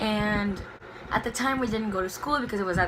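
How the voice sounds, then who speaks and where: Audible room echo and noticeable background noise surround a woman speaking at medium pitch with ordinary pitch variation. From Brazil, Belo Horizonte. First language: Portuguese. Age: 20s. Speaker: book vlogger. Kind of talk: casual chat. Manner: spontaneous, unscripted.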